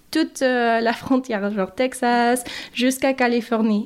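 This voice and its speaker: Using ordinary pitch variation, a woman speaks at a fairly slow pace. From Mexico, later US Midwest (Michigan, Chicago). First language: English and Spanish (speaking French). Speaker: migrant woman interviewee. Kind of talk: interview. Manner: halting, with repetitions and hesitations.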